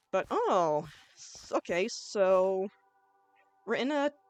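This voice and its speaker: A woman in a medium pitch with very wide pitch swings, dry, close sound with no echo, and music in the background. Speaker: gaming YouTuber. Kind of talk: let's play commentary. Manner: loud; casual, chill.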